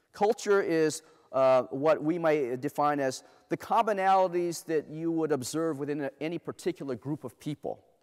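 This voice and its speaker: A man with an American accent speaks in an animated tone at a moderate pace, his fairly high pitch varying in an ordinary way against a quiet background. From Los Angeles, US (inner city: Compton, Long Beach); Los Angeles. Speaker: diversity speaker; speaker. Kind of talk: keynote talk to a live audience. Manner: animated, interactive. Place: stage.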